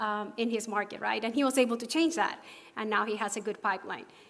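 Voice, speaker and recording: Speaking at a fairly quick pace, a woman with a Spanish accent has a fairly high pitch. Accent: Spanish accent, noticeable. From Puerto Rico. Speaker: pharmacist and association officer. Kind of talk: conference presentation. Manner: hesitant, with fillers and repetitions.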